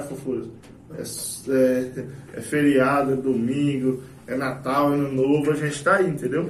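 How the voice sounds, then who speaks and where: Noticeable background noise and audible room echo surround this recording. A man with a fairly high pitch speaks with fairly even intonation. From Brazil, Itaporã (Mato Grosso do Sul). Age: 20s. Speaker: tobacco shop owner. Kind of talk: casual chat. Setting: studio.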